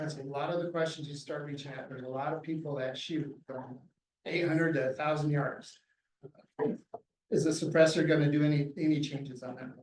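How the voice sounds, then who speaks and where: Somewhat breathy, a man talks at a fairly quick pace and a fairly high pitch, his intonation monotone and flat, with big swings in loudness. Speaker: game warden. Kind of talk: lecture. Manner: soft-spoken.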